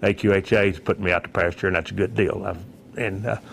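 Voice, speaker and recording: This man talks at a very fast pace. He has a Texan accent. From Texas, Fort Worth. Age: 60s. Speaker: newspaper publisher. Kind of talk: interview. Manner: halting.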